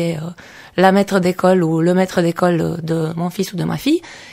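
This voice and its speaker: Her tone dark and mellow, a woman speaks at fairly low pitch and a moderate pace with monotone, flat intonation. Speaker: sociolinguistics lecturer. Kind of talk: radio interview.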